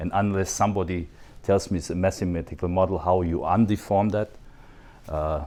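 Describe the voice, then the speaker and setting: A man's fairly low voice with a non-native accent at a moderate pace. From Switzerland. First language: not English. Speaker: photogrammetry expert, dental technology speaker. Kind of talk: conference talk. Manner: animated.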